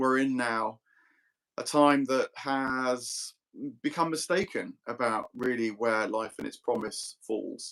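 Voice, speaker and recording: This man's voice is fairly high in pitch, with lively intonation. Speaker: philosophy discussion host. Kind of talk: casual chat. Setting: live online video stream.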